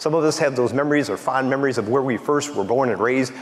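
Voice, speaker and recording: A man talks at a very fast pace with a medium pitch and ordinary pitch variation. Noticeable background noise sits behind him. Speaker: county executive. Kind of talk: conference panel talk. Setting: stage with audience.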